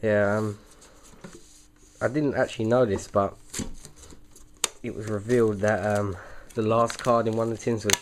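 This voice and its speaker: Against noticeable background noise, a man speaks at a moderate pace with a fairly low pitch and monotone, flat intonation. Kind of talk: casual talk to camera, card unboxing. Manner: hesitant, casual.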